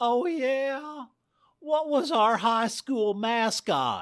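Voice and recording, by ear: A man performs a put-on character voice at extremely high pitch with lively intonation and a very slow pace. The recording is very clean, with a silent background.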